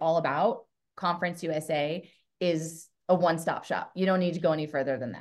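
A woman with an American accent speaks at a fairly quick pace. Her pitch is fairly low and her intonation fairly even. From US Pacific Northwest, Portland area. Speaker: college bowling coach and pro bowler. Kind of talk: interview.

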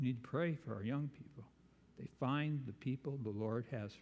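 Fairly high male voice, somewhat breathy, its pitch shifting an ordinary amount. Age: 70s. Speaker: preacher. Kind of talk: sermon. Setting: church.

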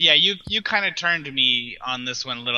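Ordinary pitch variation and a moderate pace from a man at medium pitch, an ordinary speaking voice. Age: 30s. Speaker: music blogger. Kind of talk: casual chat.

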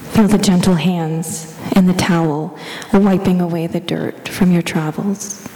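A woman talks at a fairly slow pace and fairly low pitch in a monotone, flat intonation, with noticeable background noise behind her. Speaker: church lay leader. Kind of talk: guided meditation, slow and hushed, with calm prayer. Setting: church. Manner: soft-spoken; slow, gentle, soothing pace with pauses.

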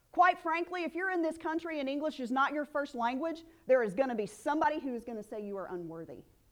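Very fast and with a Southern US accent, a woman talks at a high pitch that swings very widely, with big swings in loudness. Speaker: preacher. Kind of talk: sermon. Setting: church.

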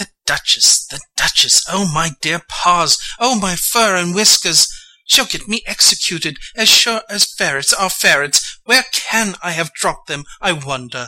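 In a put-on character voice at a middle pitch, the speaker moves at a moderate pace with hardly any pauses. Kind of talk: dramatic reading of a children's classic. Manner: fussy, anxious, bossy.

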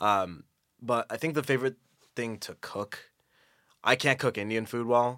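A man with a bright, sharp tone speaks at medium pitch and a moderate pace, with ordinary pitch variation. He takes long, frequent pauses, and the recording is very clean with a silent background. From US Midwest, Naperville, Illinois. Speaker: engineering student. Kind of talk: casual chat. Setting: studio.

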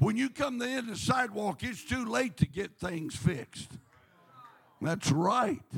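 Over noticeable background noise, a man speaks slowly-ish in a high-pitched, animated tone, his pitch swinging very widely. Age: 70s. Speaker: guest preacher. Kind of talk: sermon. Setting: church.

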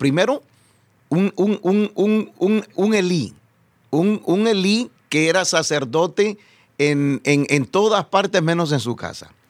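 Lively intonation from a high-pitched man at a very slow pace. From El Salvador. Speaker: pastor and evangelist. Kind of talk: testimony interview. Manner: halting, repeats words.

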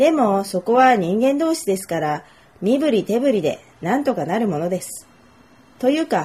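A woman with a fairly high pitch talks at a moderate pace, somewhat breathy, with very wide pitch swings and big swings in loudness. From Japan, Nagoya. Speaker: Japanese language tutor. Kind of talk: self-introduction monologue for learners.

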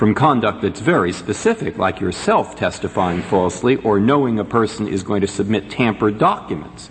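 Fairly low-pitched man's voice at a fairly quick pace, against noticeable background noise. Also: ordinary pitch variation. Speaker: supreme court justice. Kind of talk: judicial questioning. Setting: courtroom.

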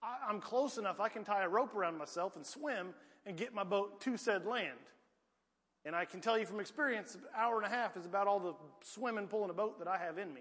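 At a fairly quick pace yet with long, frequent pauses, a man speaks with a high pitch. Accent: rural Southern US. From US South, rural Piedmont. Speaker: preacher. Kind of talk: sermon. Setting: church.

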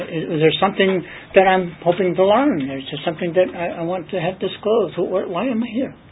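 A man speaks in a high pitch. Noticeable background noise runs underneath. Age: 60s. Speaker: Bible study teacher. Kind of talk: Bible study teaching.

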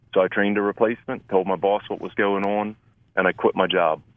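A man speaks at a fairly quick pace with fairly low pitch. His intonation is monotone and flat. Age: 50s. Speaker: church maintenance manager and disaster volunteer. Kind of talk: interview testimony.

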